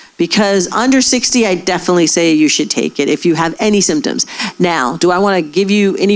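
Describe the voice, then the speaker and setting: In an unremarkable speaking voice, a woman with a fairly low pitch talks at a fairly quick pace with lively intonation. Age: 60s. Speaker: gynecologist. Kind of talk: audience Q&A.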